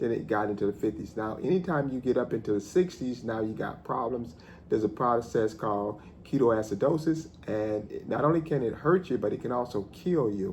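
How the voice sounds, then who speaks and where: A man speaks at a fairly quick pace, somewhat breathy. His pitch sits in the middle range. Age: 50s. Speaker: math professor. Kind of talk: casual talk to camera.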